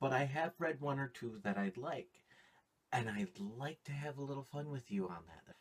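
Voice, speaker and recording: This man's voice is somewhat breathy, medium in pitch, and moves at a fairly slow pace. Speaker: anime and video game reviewer. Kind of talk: review.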